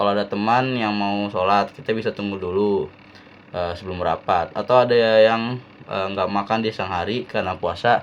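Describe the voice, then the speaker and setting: With a Jakarta accent, a man speaks at a moderate pace in a fairly low voice with fairly even intonation. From Jakarta, Indonesia. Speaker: university student. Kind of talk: student presentation. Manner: casual; halting.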